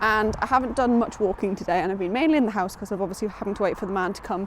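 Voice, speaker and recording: A woman talks at a very fast pace. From northern England, Newcastle area (Geordie). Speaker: book vlogger. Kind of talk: casual vlog. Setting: outdoors on a walk.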